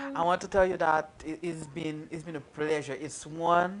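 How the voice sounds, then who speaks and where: A woman's very deep, low voice with fairly even intonation, against noticeable background noise. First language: not English. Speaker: live interview show host. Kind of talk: casual interview chat.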